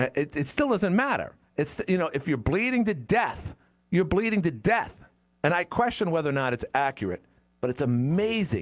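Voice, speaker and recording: A man's high voice moves in very wide pitch swings. He speaks at a moderate pace. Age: 60s. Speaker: talk radio host. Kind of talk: call-in talk radio. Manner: halting, repetitive.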